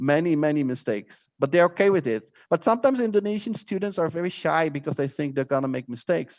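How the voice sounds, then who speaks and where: A man with a Dutch accent talks at a very fast pace with hardly any pauses. His fairly high voice has lively intonation over a quiet background. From Netherlands. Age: 40s. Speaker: teacher. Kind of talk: lecture. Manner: halting.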